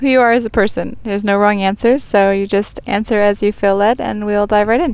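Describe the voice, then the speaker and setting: Noticeable background noise fills the recording. Through it, a woman talks fairly quickly. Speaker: podcast host. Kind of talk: casual interview. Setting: recorded on location in Egypt. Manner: warm, enthusiastic.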